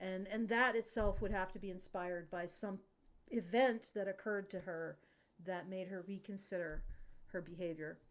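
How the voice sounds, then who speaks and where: A woman with a slight Canadian prairie accent speaks at a moderate pace. Her pitch is medium and her intonation fairly even. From Canadian prairies. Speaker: podcast host. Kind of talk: casual panel discussion. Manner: halting, many fillers and restarts.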